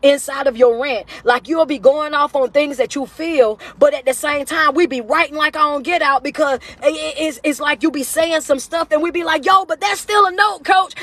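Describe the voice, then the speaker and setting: A loud, animated woman at a high pitch, with ordinary pitch variation, a moderate pace and hardly any pauses, in a dry, close sound with no echo amid noticeable background noise. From US South. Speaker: motivational speaker. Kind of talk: live stream rant. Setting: social media livestream.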